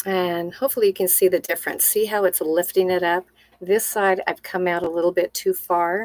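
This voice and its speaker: Here is a woman with an unremarkable speaking voice at a medium pitch, her intonation fairly even and her pace fairly quick. The sound is dry and close, with no echo. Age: 60s. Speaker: makeup artist. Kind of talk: tutorial. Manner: casual, conversational.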